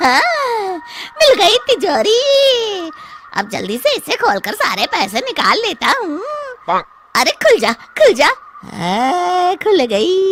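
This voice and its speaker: This cartoonish character voice sits at an extremely high pitch. It moves at a very slow pace. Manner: brash, rough.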